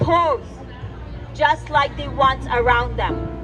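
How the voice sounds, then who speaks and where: Over music in the background, a woman speaks at a very slow pace. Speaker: poet. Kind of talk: spoken word poetry performance. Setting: live event.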